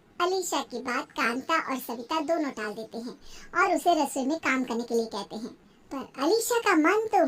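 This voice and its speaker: A cartoonish character voice at a moderate pace. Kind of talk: cartoon storytelling narration. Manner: wry, gently mocking.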